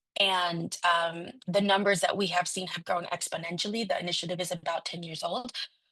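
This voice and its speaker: In a Spanish accent, a woman with a fairly low voice speaks at a fairly quick pace with flat, monotone intonation and hardly any pauses. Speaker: city council member. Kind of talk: conference speech. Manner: halting, many fillers.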